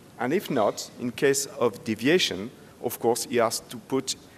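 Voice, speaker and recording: Speaking fairly slowly, a man talks with a French accent. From France. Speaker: safety expert speaker. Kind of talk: conference presentation. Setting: stage with audience. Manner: halting.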